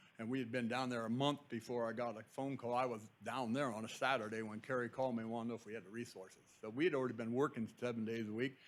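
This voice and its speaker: The speech runs very fast with hardly any pauses, in a monotone, flat intonation. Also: man, medium pitch for a man. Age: 60s. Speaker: construction contractor superintendent. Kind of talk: public comment at board meeting. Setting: public board meeting. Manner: halting, many fillers.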